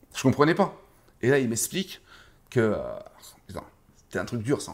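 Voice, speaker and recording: Animated and at a moderate pace, a man's medium-pitched voice shows very wide pitch swings and big swings in loudness. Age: 30s. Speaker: kickboxing coach and former fighter. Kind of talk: casual interview. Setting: boxing gym.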